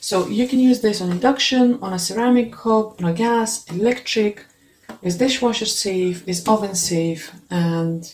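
Speaking rather slowly, a woman talks with a non-native accent. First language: not English. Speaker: video blogger reviewing cookware. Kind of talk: product review, unboxing. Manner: halting, with many fillers. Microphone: phone near.

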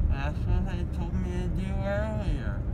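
The man talks at a fairly slow pace while music plays in the background. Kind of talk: casual groggy chat. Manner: groggy, slurred post-anesthesia speech. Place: car.

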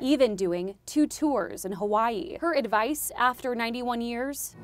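A woman speaks at a fairly slow pace in an ordinary speaking voice. Her pitch sits fairly high, and her intonation is lively. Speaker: TV news reporter. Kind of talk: TV news report narration.

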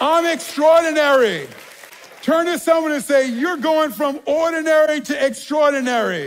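Someone speaks with a New York accent at a fairly slow pace, in a fairly bright tone with ordinary pitch variation. Faint background noise and faint crowd noise sit behind the voice. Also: man. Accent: New York American.

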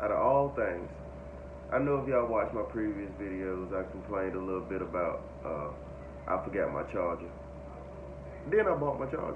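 A man talks at a moderate pace, leaving long, frequent pauses. Noticeable background noise runs underneath. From North Carolina. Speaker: trucking vlogger, trainee truck driver; truck driver trainee vlogger. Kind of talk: casual vlog monologue. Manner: halting, many fillers. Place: home room. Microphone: phone near.

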